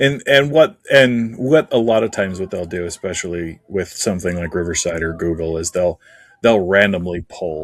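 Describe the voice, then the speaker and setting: A man talks at a moderate pace in a very deep, low pitch. His pitch variation is ordinary. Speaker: writing group podcast co-host. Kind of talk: casual chat.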